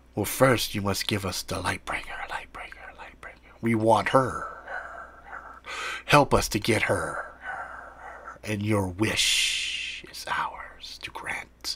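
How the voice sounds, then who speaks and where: Whispering in a put-on character voice, a man speaks at a fairly slow pace with hardly any pauses. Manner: whispering, echoing repetition.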